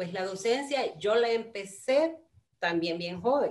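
Lively intonation marks a woman who speaks at a very slow pace. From Honduras, Tegucigalpa; Honduras. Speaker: flutist and music teacher; guest music teacher. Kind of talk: casual interview. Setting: video call. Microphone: video call.

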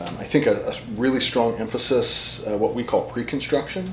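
Noticeable background noise accompanies speech delivered at a moderate pace. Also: man. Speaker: guest. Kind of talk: interview answer. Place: office.

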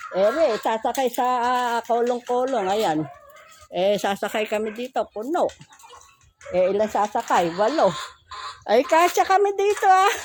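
A woman with a high voice speaks fairly slowly with very wide pitch swings and long, frequent pauses, over noticeable background noise. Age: old. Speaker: vlogger. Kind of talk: casual vlog. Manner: laughs often.

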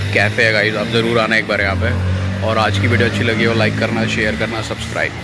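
Music plays behind a man speaking in a dry recording with no echo. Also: fairly quick pace. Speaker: vlogger. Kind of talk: casual vlog chat. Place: street. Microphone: phone near.

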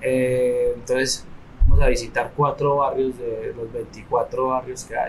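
Light background noise can be heard. A man speaks at a very slow pace. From Colombia, Medellín (Comuna 13); Colombia. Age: young. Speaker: tour guide and community entrepreneur; community tour guide, guest. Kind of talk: interview. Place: hall. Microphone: studio mic.

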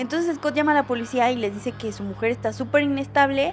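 Faint music sounds in the background. Over it, a woman talks. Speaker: true crime storyteller. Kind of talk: casual storytelling commentary. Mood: somber, concerned. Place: home room. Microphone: studio mic.

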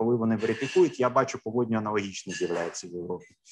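A man's speech shows ordinary pitch variation against light background noise. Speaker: lawyer. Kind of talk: presentation. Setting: video call. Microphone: video call.

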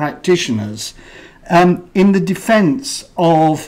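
This is a man speaking. His pitch variation is ordinary. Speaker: university head hosting event. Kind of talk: welcome speech. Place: hall. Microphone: podium.

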